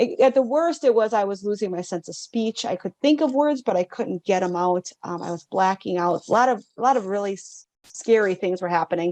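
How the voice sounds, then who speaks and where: In a Wisconsin accent, a woman talks at a fairly quick pace and medium pitch with lively intonation, the sound dry and close with no echo. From northern Wisconsin. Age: 60s. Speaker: mindset coach. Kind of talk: interview.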